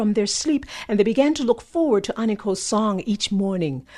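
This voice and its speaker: Over a quiet background, a woman speaks at a moderate pace in a fairly high, somewhat breathy voice with very wide pitch swings. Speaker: storyteller. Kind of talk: folktale telling.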